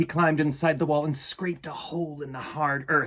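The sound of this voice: A man talks at a moderate pace with fairly even intonation, a fairly bright tone and a fairly high pitch.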